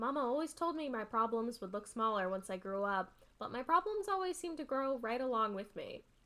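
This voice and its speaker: In a put-on character voice, a woman speaks gruffly and fairly quickly at a high pitch, with hardly any pauses. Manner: muttering.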